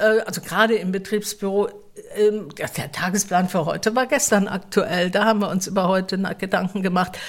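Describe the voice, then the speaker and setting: At a fairly quick pace, a woman speaks in a medium pitch with fairly even intonation. Noticeable background noise sits behind her. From Mannheim area, Germany. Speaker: theatre staff member. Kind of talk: casual interview.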